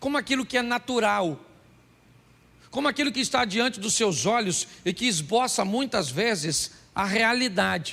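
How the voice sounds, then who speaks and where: A man speaks at a fairly slow pace in a raised, projected voice, high-pitched for a man, with a bright, sharp tone and lively intonation. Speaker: pastor. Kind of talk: sermon.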